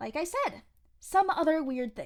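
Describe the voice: A woman puts on a character voice pitched high, with big pitch swings. She talks at a fairly slow pace.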